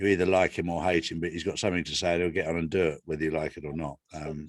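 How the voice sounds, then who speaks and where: With an East Anglian accent, a man speaks very fast in a very deep, low voice and a monotone, flat delivery. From England, Ipswich area. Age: 60s. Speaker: guest. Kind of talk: casual chat.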